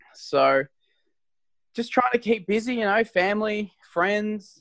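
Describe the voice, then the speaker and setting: Heard in a dry, close sound with no echo, a man with a high pitch talks at a moderate pace with lively intonation. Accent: Australian. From Australia. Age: young. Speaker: professional wrestler. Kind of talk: interview.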